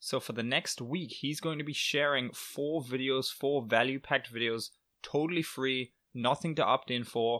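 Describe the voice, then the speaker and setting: A man speaks at medium pitch with a bright, sharp tone and fairly even intonation. The recording is very clean, with a silent background. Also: moderate pace. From northeast England. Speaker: podcast host and blogger. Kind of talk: solo podcast update.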